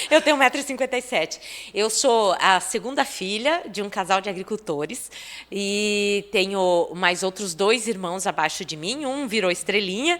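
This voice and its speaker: A woman with a plain, everyday voice speaks at a moderate pace in a medium pitch with lively intonation. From Brazil, Paraná (Itapejara do Oeste, rural). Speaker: TV presenter. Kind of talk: casual chat.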